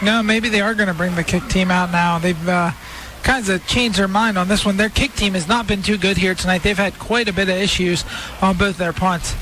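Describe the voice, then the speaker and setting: Over noticeable background noise, a man talks at a fairly quick pace and high pitch. His intonation is fairly even and his loudness very even. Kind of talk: live commentary. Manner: relaxed analyst, conversational.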